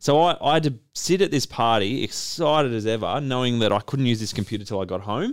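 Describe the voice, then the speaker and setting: A man's medium-pitched voice in an Australian accent, very fast with hardly any pauses and lively intonation, on a very clean recording with a silent background. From Australia, Melbourne. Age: 30s. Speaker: business owner and podcast host. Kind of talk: casual chat.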